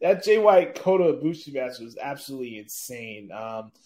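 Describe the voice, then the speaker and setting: At a fairly slow pace, a man talks in an ordinary speaking voice. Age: 20s. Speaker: podcast host. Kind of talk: casual chat. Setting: remote recording via satellite.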